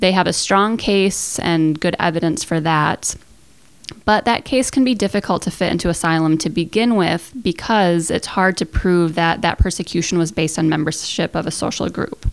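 A woman with a plain, everyday voice speaks at a fairly low pitch and a moderate pace. Her pitch variation is ordinary, and her loudness stays very even. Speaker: professor researcher. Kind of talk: interview explanation.

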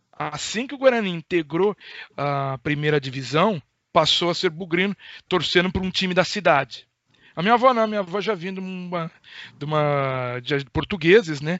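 A man with a high pitch and ordinary pitch variation speaks at a moderate pace, with long, frequent pauses. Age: 30s. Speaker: radio journalist. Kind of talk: casual interview.

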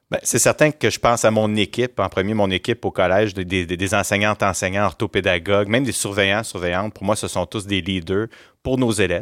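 This is an ordinary speaking voice, fairly quick and with fairly even intonation. The sound is dry and close with no echo, on a very clean recording with a silent background. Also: man. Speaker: school principal. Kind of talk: interview. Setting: studio.

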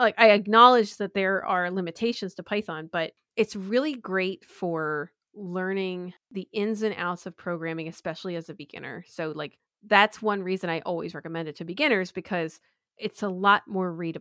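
A woman with an American accent and a medium pitch speaks at a moderate pace in a bright, sharp tone, her loudness swinging widely on a very clean recording with a silent background. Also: ordinary pitch variation, dry, close sound with no echo. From US Northeast, Philadelphia. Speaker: developer advocate. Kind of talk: casual chat.

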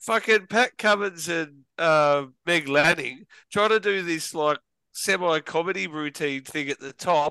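Speaking with an Australian accent at a fairly slow pace, a man has a fairly high pitch, ordinary pitch variation, and a bright, sharp tone, recorded dry and close with no echo against a quiet background. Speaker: podcast co-host. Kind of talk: casual chat.

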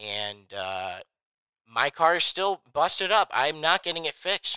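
A man speaks at a fairly high pitch in a bright, sharp tone with vocal fry and very wide pitch swings. The recording is very clean, with a silent background and a dry, close sound with no echo. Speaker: podcast host. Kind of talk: comedic banter, sketch-style podcast.

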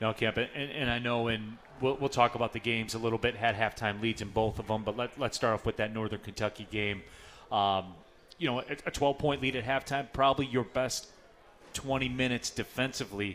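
A man speaks in a normal speaking voice at a fairly quick pace, his medium pitch held in fairly even intonation. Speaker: radio play-by-play announcer and host. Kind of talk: live radio show hosting. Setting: live at a pub with audience.

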